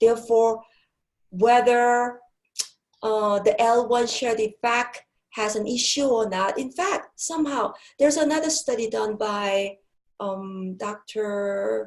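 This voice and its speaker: Very slow in pace, a woman speaks at a fairly high pitch with lively intonation. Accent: non-native. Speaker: professor of applied linguistics. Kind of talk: lecture. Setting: webinar. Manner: hesitant with fillers.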